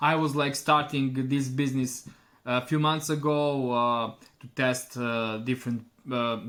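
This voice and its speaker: In a Serbian accent, a man speaks fairly slowly at a medium pitch. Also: fairly even intonation. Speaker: online store owner. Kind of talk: customer testimonial. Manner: halting, many fillers.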